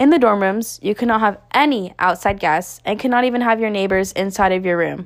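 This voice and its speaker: A woman's medium-pitched voice with an American accent, fairly quick in pace, with ordinary pitch variation. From Northern California. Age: young. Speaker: college student podcaster. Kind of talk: scripted narration.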